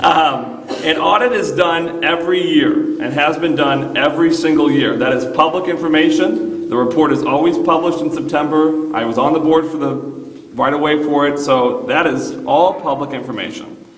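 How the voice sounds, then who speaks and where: Against noticeable background noise and audible room echo, a man with an American accent talks at a moderate pace in a fairly high pitch, with ordinary pitch variation. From Manteno, Illinois, US Midwest. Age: 20s. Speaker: high school teacher speaking at public comment. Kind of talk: public meeting speech. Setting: village board meeting room. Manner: loud.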